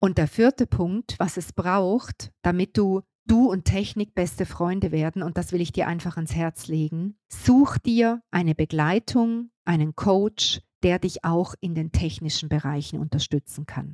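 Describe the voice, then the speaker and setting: A woman's fairly low, dark, mellow voice with lively intonation at a fairly slow pace, dry and close with no echo. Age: 50s. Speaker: business coach. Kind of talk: solo podcast monologue.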